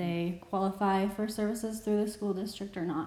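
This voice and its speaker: Audible room echo hangs on the voice. It belongs to a woman. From Wisconsin. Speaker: bilingual speech-language pathologist. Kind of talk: casual chat.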